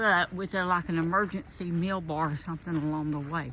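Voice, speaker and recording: A woman with a fairly low pitch talks in a normal speaking voice. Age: 60s. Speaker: nurse and hiking vlogger. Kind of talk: casual vlog. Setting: outdoors on a trail.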